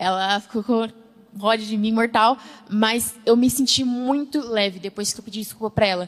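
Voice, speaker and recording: At a moderate pace, a woman talks with a fairly high pitch and fairly even intonation. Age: young. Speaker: church youth member. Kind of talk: panel discussion.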